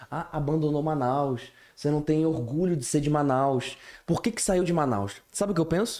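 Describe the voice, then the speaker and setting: A very clean recording with a silent background, featuring a man's lively intonation at a fairly high pitch. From various Brazilian cities, military family. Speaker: podcast host. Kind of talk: casual chat.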